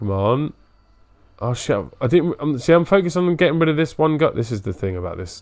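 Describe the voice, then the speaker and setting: On a very clean recording with a silent background, a man with a British accent talks at a fairly quick pace, his fairly high pitch making very wide swings. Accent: British, drops T sounds. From Britain. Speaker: gaming streamer. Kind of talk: casual live-stream commentary. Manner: sniffs and clears throat often.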